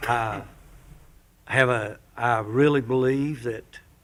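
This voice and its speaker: This man's voice is somewhat breathy, with fairly even intonation, in an audible room echo. He speaks with a Southern US accent. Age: 70s. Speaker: pastor. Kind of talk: public comment at town council meeting. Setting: town council meeting chamber. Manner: halting.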